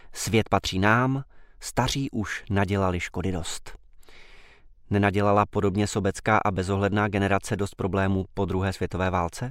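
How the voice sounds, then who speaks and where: A man has a normal speaking voice at a fairly low pitch. He keeps a moderate pace on a very clean recording with a silent background. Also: fairly even intonation. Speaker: newspaper commentator. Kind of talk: scripted commentary reading.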